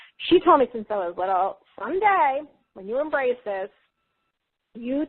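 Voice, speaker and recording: A woman with an American accent speaks at a high pitch. Her intonation is lively and her pace moderate. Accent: New York accent, strong after recent visit. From US Northeast, Long Island, New York. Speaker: psychic healer and spiritual teacher. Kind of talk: interview, personal testimony. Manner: conversational, animated.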